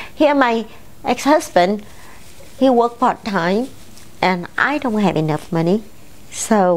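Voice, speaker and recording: A woman's lively intonation in a Vietnamese accent at a fairly slow pace. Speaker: salon owner and businesswoman. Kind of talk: personal testimony.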